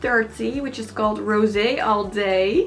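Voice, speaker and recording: With a Dutch accent, a woman at a medium pitch speaks at a fairly slow pace with fairly even intonation. Music plays in the background amid audible room echo. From Netherlands. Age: 20s. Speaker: beauty vlogger. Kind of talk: tutorial. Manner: casual, chatty with fillers.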